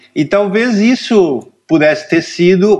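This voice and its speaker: Intonation here is lively. The delivery is very slow. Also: man. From Rio Grande do Sul, Brazil (Cachoeira do Sul). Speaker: cartoonist. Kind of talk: casual interview.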